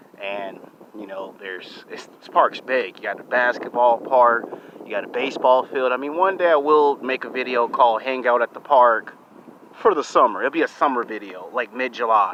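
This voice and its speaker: Noticeable background noise sits behind a man speaking at a medium pitch. His pitch varies in an ordinary way, while his loudness swings a lot. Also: moderate pace. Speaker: YouTube vlogger. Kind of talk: casual vlog to camera. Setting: outdoors in a park. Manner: animated.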